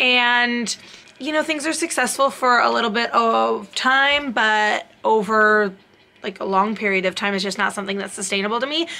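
Bright, sharp tone at a moderate pace with ordinary pitch variation. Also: woman. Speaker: fitness vlogger. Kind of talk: casual vlog chat. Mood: friendly, occasional laughs. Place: home room. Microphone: phone near.

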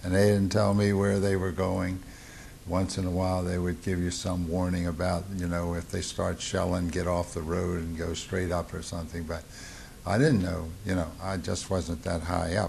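In a Baltimore accent, a man with a very deep, low pitch talks at a moderate pace in monotone, flat intonation, somewhat breathy, over light background noise. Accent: Mid-Atlantic US (Baltimore). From Baltimore, Maryland. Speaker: war veteran. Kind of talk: oral history interview. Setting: veterans reunion. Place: home room.

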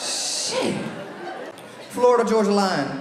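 With faint crowd noise behind him and audible room echo, a man speaks at a very slow pace in a high pitch that swings widely. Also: fairly bright tone.

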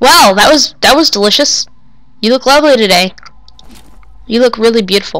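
Over noticeable background noise, a woman with a fairly high voice speaks at a fairly quick pace with lively intonation. She leaves long, frequent pauses. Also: very even loudness. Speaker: gamer. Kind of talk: gameplay commentary.

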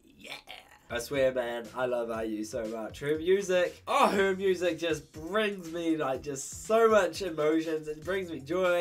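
With music playing in the background, a man speaks in a fairly high pitch with lively intonation. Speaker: YouTube reactor. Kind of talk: reaction video commentary. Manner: animated.

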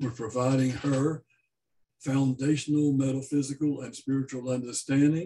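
A man speaks at a moderate pace in a flat monotone, his voice somewhat breathy. Light background noise can be heard. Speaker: service host introducing speaker. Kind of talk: formal introduction. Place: home room. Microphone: webcam.

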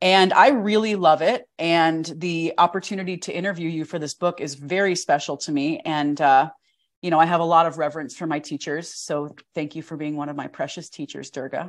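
This woman talks at a fairly quick pace with a fairly low pitch. Her loudness swings widely against a quiet background. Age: 30s. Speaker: podcast host and yoga teacher. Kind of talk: casual interview. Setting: video call. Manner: animated. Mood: warm, personal, reflective. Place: home room. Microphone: lapel.

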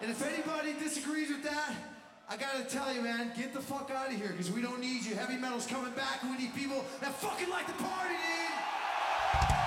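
Amid loud background noise and audible room echo, a man talks at a fairly quick pace with ordinary pitch variation. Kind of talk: stage banter to audience. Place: stage.

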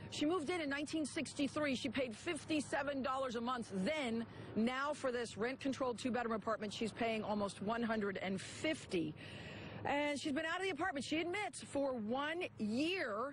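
Over light background noise, in dry sound with no echo, a woman talks at a high pitch and moderate pace with lively intonation, very even loudness and hardly any pauses. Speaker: TV news reporter. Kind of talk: live TV news report. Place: garden. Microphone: handheld.

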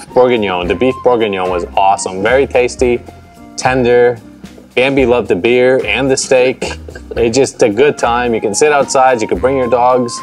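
There is faint music in the background as a man speaks. His pace is moderate, with ordinary pitch variation. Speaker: co-host. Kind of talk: casual conversation. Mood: relaxed, joking. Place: garden.

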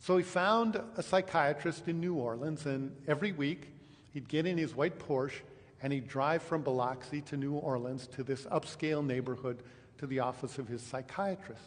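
Somewhat breathy, a man speaks at a moderate pace. His pitch varies in an ordinary way. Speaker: pastor. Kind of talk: sermon. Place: church.

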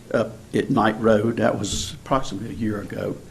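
This man has a Southern US accent and a medium-pitched, somewhat breathy voice. He talks at a moderate pace with monotone, flat intonation. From rural Rockingham County, North Carolina. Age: 70s. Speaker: local resident commenter. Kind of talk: public comment at government hearing. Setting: county board meeting room.

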